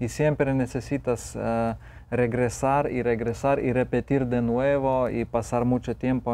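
A man's very slow, monotone, flat delivery in a Lithuanian accent, dark and mellow in tone. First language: Lithuanian (speaking Spanish). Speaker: photographer and author; guest. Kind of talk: TV interview. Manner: halting, with frequent repetitions and fillers. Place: studio. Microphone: lapel.

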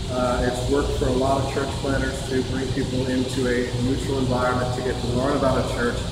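A man speaking at a moderate pace, with audible room echo and loud background noise. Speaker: church pastor. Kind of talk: church announcements. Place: hall. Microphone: camera far.

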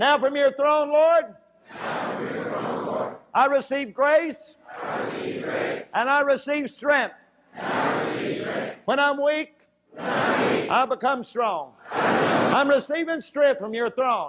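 A man at an extremely high pitch, very slow pace, ordinary pitch variation. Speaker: preacher. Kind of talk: fervent prayer and declarations. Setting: church service. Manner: fervent, repetitive, echoing phrases; urgent, commanding. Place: church. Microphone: lapel.

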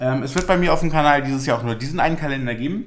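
A man's medium-pitched voice at a very fast pace, with ordinary pitch variation and faint background noise.

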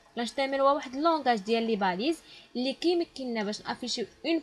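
A woman with a high voice talks at a very fast pace with lively intonation. Noticeable background noise is present. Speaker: programming teacher. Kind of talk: tutorial.

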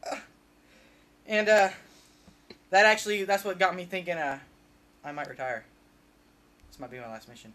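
A man's raised, projected voice, bright and sharp in tone, with lively intonation. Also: big swings in loudness. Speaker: mock interview subject. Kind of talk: comedic mock interview answer. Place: home room. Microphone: camera far.

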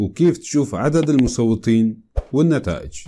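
Using a dark, mellow tone, a man of medium pitch speaks at a moderate pace with ordinary pitch variation. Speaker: tech tutorial youtuber. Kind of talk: tutorial.

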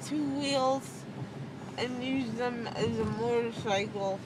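A woman speaks at a very slow pace. Loud background noise fills the dry sound, which has no echo. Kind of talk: casual chat. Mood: rambling, slightly hesitant. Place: car. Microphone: phone near.

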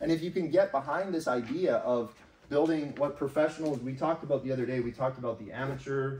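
A man with a fairly high pitch and a somewhat breathy voice speaks at a fairly quick pace with ordinary pitch variation. Audible room echo is present. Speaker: business trainer and team leader; business trainer. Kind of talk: motivational business seminar. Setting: live event with audience. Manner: animated. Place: meeting room. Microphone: camera far.

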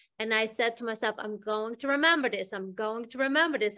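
The speaker is a woman. She has a bright, sharp tone. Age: 50s. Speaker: hypnosis healing practitioner, interviewer; interviewer. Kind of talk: interview. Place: home room. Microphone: video call.

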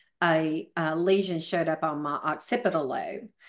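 A woman speaks with a Southern US accent at a fairly low pitch. Her pace is fairly slow against a quiet background. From US South. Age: 50s. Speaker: fitness trainer; podcast guest, fitness trainer. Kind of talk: casual interview. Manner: staggered, halting speech. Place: home room. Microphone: video call.

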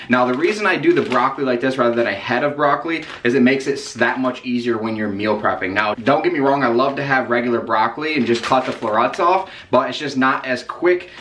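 Over light background noise, a man speaks at a very fast pace with hardly any pauses and ordinary pitch variation. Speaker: fitness diet vlogger. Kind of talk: casual vlog chat. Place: home room.

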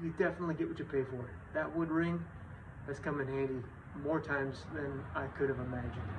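A man speaks fairly quickly while loud background noise fills the recording. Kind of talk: casual tutorial. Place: garage. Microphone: phone near.

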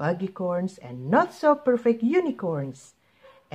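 The clip is plain reading aloud. The text is simply read out.

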